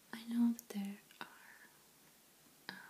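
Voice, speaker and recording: Someone is whispering at a fairly slow pace. Noticeable background noise runs through the clip. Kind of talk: ASMR show and tell. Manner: whispered, soft-spoken; calm, relaxed.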